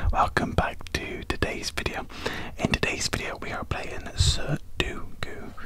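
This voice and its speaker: A man whispers at a fairly slow pace. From British. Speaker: ASMR creator. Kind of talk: ASMR puzzle-solving video. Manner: whispered, soft-spoken. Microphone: studio mic.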